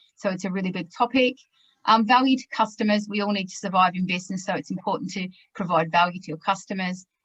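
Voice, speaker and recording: Talking at a very fast pace, a woman with an Australian accent and a medium pitch uses ordinary pitch variation. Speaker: webinar presenter, sustainability consultant. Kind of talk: business webinar presentation.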